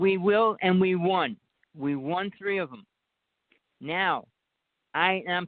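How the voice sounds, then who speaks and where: A man speaks with a New Jersey accent. His pace is fairly slow. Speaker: caller. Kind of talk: casual chat. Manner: hard to understand.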